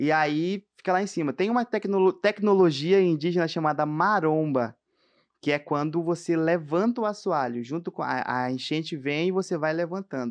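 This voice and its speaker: Talking at a moderate pace over a quiet background, a man uses a high pitch with ordinary pitch variation. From Amazonas, Brazil. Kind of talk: testimony. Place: studio. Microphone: studio mic.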